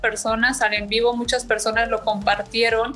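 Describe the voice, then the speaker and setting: A woman with a Mexican accent, monotone and flat in intonation, at a moderate pace, over noticeable background noise. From Mexico, Chilpancingo, Guerrero. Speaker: fashion entrepreneur. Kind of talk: interview.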